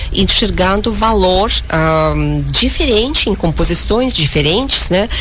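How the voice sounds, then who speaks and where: A woman with a Russian accent speaks fairly slowly amid noticeable background noise and audible room echo. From Uzbekistan, near Tashkent. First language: Russian (speaking Portuguese). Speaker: concert pianist. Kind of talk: radio interview. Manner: halting, with fillers.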